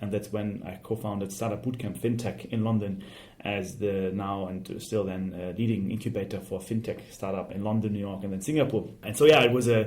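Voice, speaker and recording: A man with a German accent, fairly low pitch, ordinary pitch variation and a fairly quick pace, in a room with audible echo. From Germany. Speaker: fintech startup CEO. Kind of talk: interview. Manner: hesitant, with fillers.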